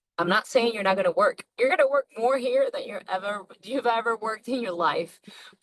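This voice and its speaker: Her voice fairly high for a woman, she speaks at a moderate pace with ordinary pitch variation, in a dry, close sound with no echo. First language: not English. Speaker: network marketer. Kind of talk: sales pitch. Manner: halting.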